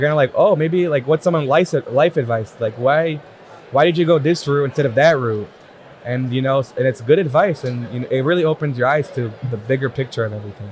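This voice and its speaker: A man with a fairly high pitch talks at a fairly quick pace against noticeable background noise. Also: ordinary pitch variation. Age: young. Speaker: tax preparer. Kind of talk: casual interview.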